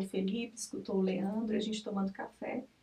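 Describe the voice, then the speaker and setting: A woman speaks with a fairly high pitch at a moderate pace. Noticeable background noise runs underneath. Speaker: mother sharing birth story. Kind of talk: testimony.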